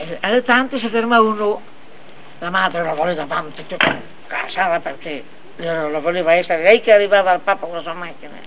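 Over noticeable background noise, a woman with a Lombard accent speaks at a fairly low pitch with ordinary pitch variation. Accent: Brescian dialect. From Brescia, Italy. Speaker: family storyteller. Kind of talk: joke telling. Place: garden. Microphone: camera far.

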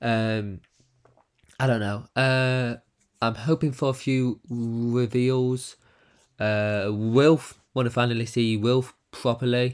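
A man at a medium pitch, very slow in pace, with fairly even intonation. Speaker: youtube reaction creator. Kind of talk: casual reaction commentary. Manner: hesitant, many fillers.

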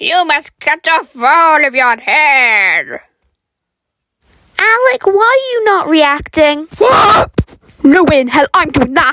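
A woman's cartoonish character voice, high-pitched with very wide pitch swings, a fairly slow pace and long, frequent pauses. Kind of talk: comic reality show hosting.

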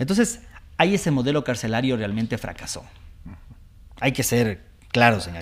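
Long, frequent pauses break up a man's fairly quick speech, which has lively intonation. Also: big swings in loudness. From Ecuador, Latacunga (Andean highlands); Ecuador. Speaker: judge; TV show guest or host, lawyer. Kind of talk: TV interview. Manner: hesitant, many fillers. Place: studio. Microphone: lapel.

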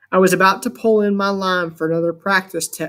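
Delivered in an unforced reading voice, the speech keeps a fairly even intonation.

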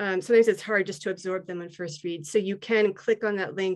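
The background is quiet as a woman speaks at a fairly quick pace. Her intonation is fairly even. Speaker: poet. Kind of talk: reading aloud. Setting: video call. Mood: earnest, reflective. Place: home room. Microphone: video call.

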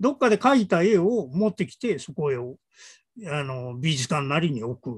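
A man at a moderate pace, with very wide pitch swings and big swings in loudness, over a quiet background. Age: old. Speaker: creative director and arts writer; guest. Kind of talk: casual chat; conversational dialogue. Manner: many fillers and hesitations. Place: home room. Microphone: earbuds.

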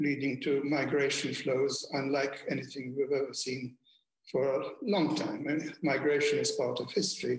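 Somewhat breathy, a man talks at a fairly slow pace with audible room echo over a quiet background. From Malta. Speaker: former diplomat; speaker. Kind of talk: keynote speech. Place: home room. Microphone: webcam.

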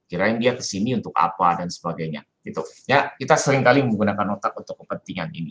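The speech runs at a very fast pace with hardly any pauses, lively intonation and big swings in loudness. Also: man, fairly low pitch for a man. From Indonesia. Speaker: Jesuit priest lecturer; priest giving an online lecture. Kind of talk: lecture. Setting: video call. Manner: animated. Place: home room. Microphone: video call.

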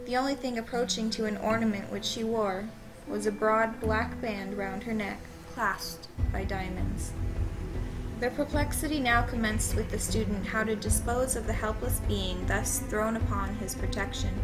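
Music plays behind a woman whose speech keeps a moderate pace. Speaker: amateur story narrator. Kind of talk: horror story reading.

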